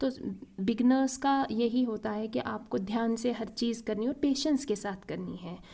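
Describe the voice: Vocal fry over a dark, mellow tone, with ordinary pitch variation at a moderate pace. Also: woman, fairly high pitch for a woman.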